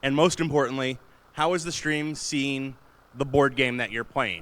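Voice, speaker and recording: A man speaks in a plain, everyday voice at a fairly high pitch. His pace is moderate. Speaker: convention panelist, streamer. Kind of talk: convention panel talk. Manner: casual, conversational. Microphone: Blue Yeti mic, sometimes far away.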